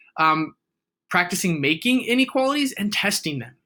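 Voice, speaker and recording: In a raised, projected voice, a man speaks with a high pitch, a bright, sharp tone and very wide pitch swings. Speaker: math teacher. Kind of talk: tutorial.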